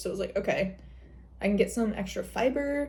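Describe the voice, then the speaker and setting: Speaking fairly quickly with a Michigan accent, a woman has a dark, mellow tone, vocal fry and lively intonation. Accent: Midwest accent, Michigan. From Michigan, US Midwest. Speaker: lifestyle vlogger. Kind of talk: casual vlog talk. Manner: casual, chatty.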